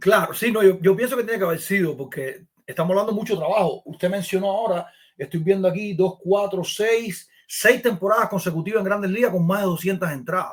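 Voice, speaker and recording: Talking at a fairly quick pace, a man has a high pitch and ordinary pitch variation. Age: 40s. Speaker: podcast host. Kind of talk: interview.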